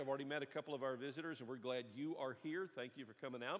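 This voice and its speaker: Over a quiet background, a man's speech moves fairly quickly, and his pitch varies in an ordinary way. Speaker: preacher. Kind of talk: sermon. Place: church.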